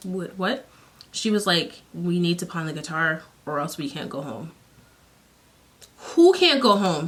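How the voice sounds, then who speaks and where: Delivered at a fairly slow pace with long, frequent pauses, the voice has an animated tone and lively intonation. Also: woman, fairly low pitch for a woman. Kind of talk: storytime, casual talk to camera. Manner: animated, conversational.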